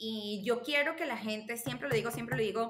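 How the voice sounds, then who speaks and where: Ordinary in pitch variation, the woman's voice sits fairly high. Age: 30s. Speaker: marketing specialist and nonprofit cofounder. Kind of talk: podcast interview. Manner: halting.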